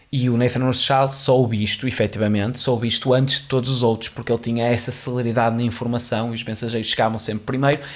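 A man at a very fast pace with hardly any pauses, medium in pitch, in a monotone, flat intonation. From Portugal. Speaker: podcast host. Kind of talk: solo educational monologue. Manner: halting, with repetitions and fillers. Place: studio. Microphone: studio mic.

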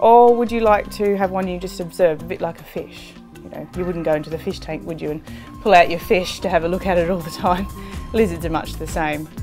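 With clear music in the background, a woman speaks at a fairly quick pace in a fairly low voice, showing big swings in loudness and ordinary pitch variation. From Australia. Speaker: zoologist and wildlife TV presenter. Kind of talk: TV presenter showreel narration. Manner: enthusiastic, passionate. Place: home room.

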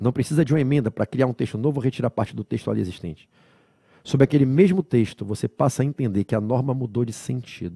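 A man with a dark, mellow, somewhat breathy tone talks fairly quickly with lively intonation, his sound dry with no echo over a quiet background. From Brazil. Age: 40s. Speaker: law lecturer. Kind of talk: lecture. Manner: didactic, conversational. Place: studio. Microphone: headset.

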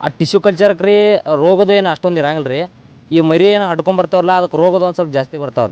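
Male speech in an ordinary speaking voice, the pitch varying in an ordinary way. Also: dry, close sound with no echo. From India, northern Karnataka (Belagavi district). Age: young. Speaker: farmer. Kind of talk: interview.

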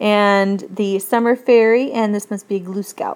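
With fairly even intonation, a woman talks at a fairly slow pace. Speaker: teacher. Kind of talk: classroom tutorial explaining a textbook lesson. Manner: conversational, asks guiding questions.

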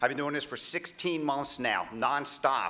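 A man with an American accent, moderate pace and ordinary pitch variation. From Pennsylvania. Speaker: congressional candidate; candidate. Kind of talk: political debate. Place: stage. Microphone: podium.

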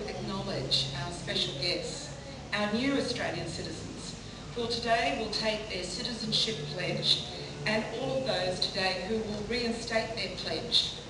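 Noticeable background noise and audible room echo surround this woman's voice. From Australia. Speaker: politician. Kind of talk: ceremonial speech. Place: hall.

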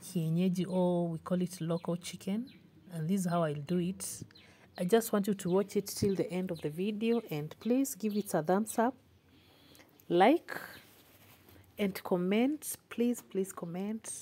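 Speaking fairly slowly, a somewhat breathy woman leaves long, frequent pauses and uses ordinary pitch variation. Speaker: home cook vlogger. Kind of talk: casual vlog chat. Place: kitchen. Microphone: phone near.

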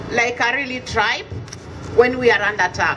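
With noticeable background noise behind her, a woman speaks in a raised, projected voice that makes very wide pitch swings. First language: an African language. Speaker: community association representative; speaker. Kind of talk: rally speech. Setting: outdoor vigil with crowd. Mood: grieving, earnest. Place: street. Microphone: camera far.

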